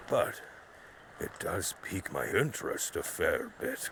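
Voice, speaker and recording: Over light background noise, a man uses a raspy, put-on character voice at a fairly slow pace. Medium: video game. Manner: severe with a tinge of mockery.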